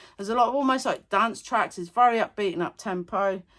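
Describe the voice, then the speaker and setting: Animated and energetic, a woman talks with a bright, sharp tone and ordinary pitch variation in a very clean recording with a silent background. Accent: English. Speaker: music reaction YouTuber. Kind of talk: casual music review vlog. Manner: animated, energetic.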